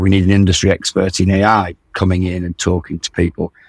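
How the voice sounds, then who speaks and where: On a very clean recording with a silent background and a dry, close sound free of echo, a man with a British accent speaks somewhat breathily. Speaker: founder of an investor network. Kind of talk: casual interview.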